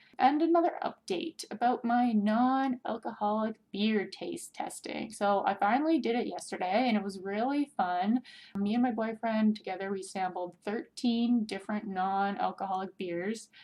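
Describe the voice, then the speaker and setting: A woman with an ordinary speaking voice talks at a moderate pace and a fairly high pitch, with ordinary pitch variation and hardly any pauses. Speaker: podcast host. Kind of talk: casual podcast monologue. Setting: at home. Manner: chatty, filler words.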